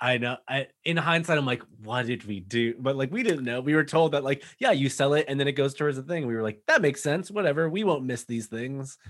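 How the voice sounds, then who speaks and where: A man with an East Coast US accent talks at a fairly quick clip, barely pausing. His voice sits fairly high, with ordinary pitch variation. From Massachusetts, north of Boston. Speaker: podcast guest. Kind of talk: casual chat.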